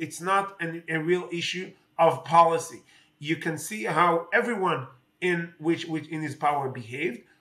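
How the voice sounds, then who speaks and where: Speaking at a moderate pace, a man with an Israeli accent has a high pitch. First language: Hebrew. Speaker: politician. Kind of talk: interview. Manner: halting, many fillers.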